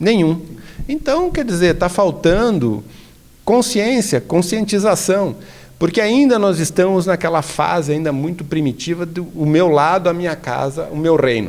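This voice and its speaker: The speaker talks at a fairly slow pace with lively intonation. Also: man, high pitch for a man. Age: 60s. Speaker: religious leader and association president. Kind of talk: interview conversation.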